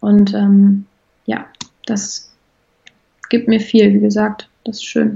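A woman's very slow speech, with long, frequent pauses and big swings in loudness. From Germany, Bonn. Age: 20s. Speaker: equine therapist in training. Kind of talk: interview.

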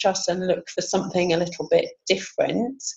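Noticeable background noise runs through the clip. The pace is moderate. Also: woman. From Sheffield, northern England. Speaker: business support coordinator. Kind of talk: casual interview.

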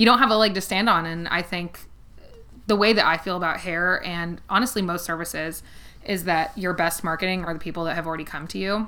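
Speaking at a fairly quick pace with an American accent, a woman keeps a fairly low pitch and fairly even intonation over noticeable background noise. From US West Coast, San Fernando Valley (Los Angeles). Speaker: hair stylist. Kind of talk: casual chat.

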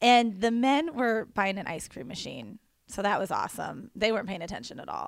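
In a very clean recording with a silent background, a fairly high-pitched woman speaks at a fairly quick pace with lively intonation and vocal fry. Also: big swings in loudness. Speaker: church podcast co-host. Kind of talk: casual chat.

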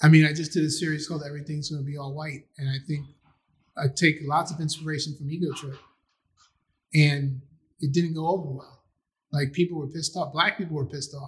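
A man with a New York accent, fairly high-pitched, very fast and flat in intonation, somewhat breathy, with big swings in loudness and long, frequent pauses. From Queens, New York (Astoria). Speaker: filmmaker and writer. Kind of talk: casual interview chat.

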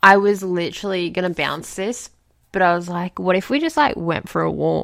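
A woman speaks at a moderate pace and medium pitch in a plain, everyday voice, with ordinary pitch variation. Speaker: podcast co-host. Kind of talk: casual chat. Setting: remote recording from home.

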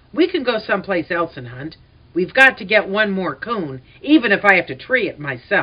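In a put-on character voice that is female-sounding and rumbling, the speaker talks at a middle pitch and a moderate pace. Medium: read story. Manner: grumbling, excitable.

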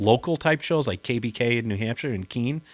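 A man in a Boston accent at a moderate pace, with ordinary pitch variation and a dry, close sound with no echo. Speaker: prank caller. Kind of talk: casual interview.

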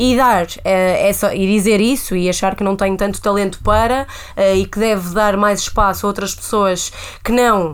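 In a plain, everyday voice, the speaker talks at a moderate pace with fairly even intonation. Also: woman, medium pitch for a woman. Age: 20s. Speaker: podcast co-host. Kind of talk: casual chat.

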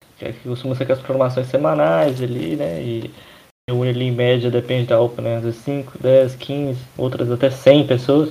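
Here a man talks at a moderate pace and medium pitch, with ordinary pitch variation and an unremarkable speaking voice. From Brazil, Minas Gerais (Governador Valadares). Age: 20s. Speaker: church youth organization leader. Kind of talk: casual chat.

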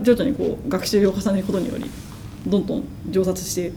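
A woman with a medium-pitched voice talks at a fairly quick pace amid noticeable background noise. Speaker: media artist. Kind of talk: casual chat. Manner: stuttering, halting.

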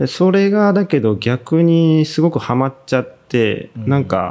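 Very wide pitch swings at a moderate pace. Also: man. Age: 30s. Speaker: editor and company owner. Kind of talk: casual interview.

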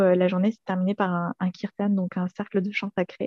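A woman's voice at medium pitch. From southern France, Montpellier. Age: 20s. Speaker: energetic aromatherapist. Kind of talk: casual interview. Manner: hesitant, many fillers.

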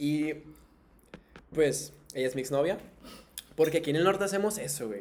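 The speaker talks with a northern Mexican accent. Long, frequent pauses break up the speech. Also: man, fairly high pitch for a man, lively intonation, moderate pace. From Tijuana, northern Mexico. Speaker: podcast host. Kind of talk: casual chat; reading aloud. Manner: animated.

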